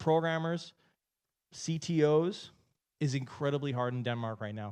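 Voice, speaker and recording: Against a quiet background, a man with a Canadian accent and a fairly high pitch speaks at a moderate pace in an animated tone. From Canada. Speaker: entrepreneur and keynote speaker. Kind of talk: keynote speech. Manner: animated, casual.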